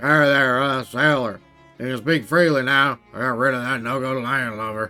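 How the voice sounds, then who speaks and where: A gruff, put-on character voice at a moderate pace, with faint music in the background. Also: man, medium pitch for a man. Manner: gruff, muttered.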